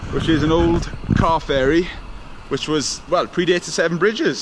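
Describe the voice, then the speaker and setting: A man speaks fairly quickly, his intonation fairly even, with noticeable noise in the background. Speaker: exploration vlogger. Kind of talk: casual vlog chat. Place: waterside. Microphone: phone near.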